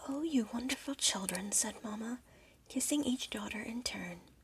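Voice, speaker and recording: The voice is soft-spoken. Its pace is fairly slow. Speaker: ASMR storyteller. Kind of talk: bedtime story reading.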